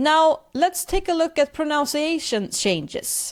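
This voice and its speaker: Here a woman speaks with a Swedish accent. The recording is very clean, with a silent background. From Sweden. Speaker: language teacher podcaster. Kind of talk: language lesson podcast.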